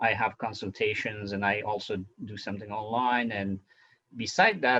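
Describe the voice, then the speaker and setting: Using fairly even intonation, a man with a non-native accent speaks at a fairly low pitch in a bright, sharp tone. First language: not English. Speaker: physician and podcast host. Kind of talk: interview. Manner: halting, many fillers.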